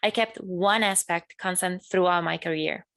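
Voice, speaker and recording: On a very clean recording with a silent background, a woman with an Italian accent speaks at a medium pitch. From northern Italy, near Bologna. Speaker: graduate student. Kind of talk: keynote speech. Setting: virtual event.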